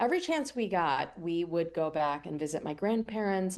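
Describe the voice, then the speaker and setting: A woman with an American accent and an ordinary speaking voice, fairly low in pitch, lively in intonation, at a moderate pace. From US Northeast, Pennsylvania near Philadelphia. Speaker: cookbook author and TV cooking show host. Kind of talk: radio interview.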